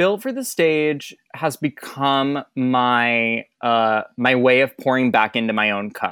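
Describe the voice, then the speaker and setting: At a very slow pace, someone speaks with an American accent on a very clean recording with a silent background. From Michigan, US Midwest. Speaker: Broadway performer, swing. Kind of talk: casual interview chat.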